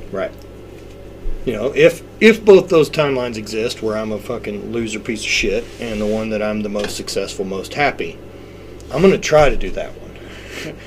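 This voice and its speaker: A man talks at a moderate pace with big swings in loudness, noticeable background noise behind him. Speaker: strongman athlete and fitness business owner. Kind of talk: casual chat. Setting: in person. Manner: animated.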